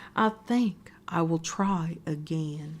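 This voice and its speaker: The speaker puts on a character voice. Its pitch is middle. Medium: read story.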